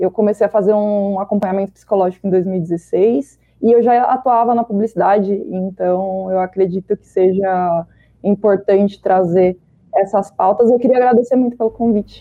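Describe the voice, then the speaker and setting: Moderate pace and medium pitch from a woman with a plain, everyday voice. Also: fairly even intonation. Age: 30s. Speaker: marketing professional. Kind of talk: panel discussion. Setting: video call.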